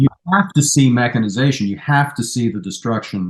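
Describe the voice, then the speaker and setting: Lively intonation shapes a normal speaking voice. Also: man. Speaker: humanities professor, author. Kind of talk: interview answer.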